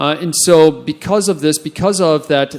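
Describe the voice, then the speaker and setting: A man with an American accent and an unremarkable speaking voice talks at a moderate pace, with fairly even intonation and a fairly high pitch. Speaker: immigration enforcement officer and conference panelist. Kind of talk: panel discussion.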